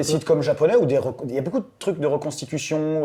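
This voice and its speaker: Fairly quick speech from a man, his pitch varying in an ordinary way. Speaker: voice actor. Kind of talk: interview answer. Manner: casual, hesitant.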